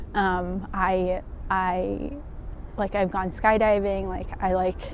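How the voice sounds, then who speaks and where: Soft-spoken and medium in pitch, a woman delivers her words in monotone, flat intonation, with audible room echo around her. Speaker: construction project manager. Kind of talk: interview testimony. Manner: hesitant, many fillers.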